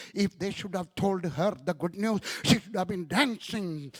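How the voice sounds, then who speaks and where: Here a man talks with an Indian accent. His voice comes across dry and close, with no echo. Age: 70s. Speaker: evangelist preacher. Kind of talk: sermon.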